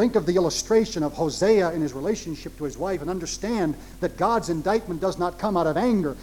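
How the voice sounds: This is a natural reading voice. It carries the text through.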